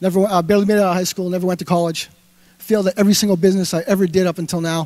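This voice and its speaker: With a Boston accent, a man speaks in an animated tone at a high pitch and a very fast pace. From Massachusetts (Avon, near Boston). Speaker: entrepreneur and web brand developer. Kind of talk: motivational talk. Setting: stage with audience. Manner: halting.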